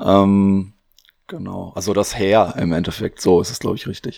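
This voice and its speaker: A man with a very deep, low pitch and fairly even intonation. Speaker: podcast co-host and quiz contestant. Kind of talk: casual quiz game chat.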